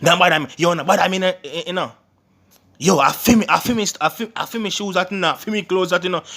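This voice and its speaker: A man speaks in a Jamaican accent. His tone is bright and sharp. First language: Jamaican Patois. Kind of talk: casual language tutorial to camera.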